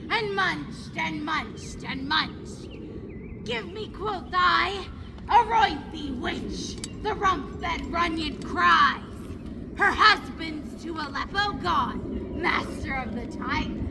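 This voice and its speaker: A put-on character voice, female-sounding and high-pitched, at a very slow pace over loud background noise. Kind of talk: Shakespearean stage acting. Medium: stage play.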